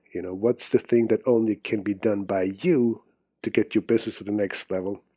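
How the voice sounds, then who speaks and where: With a Swiss accent, a man talks at a moderate pace and medium pitch. His intonation stays fairly even. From Switzerland (Zurich). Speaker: business and time management coach. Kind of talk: podcast interview.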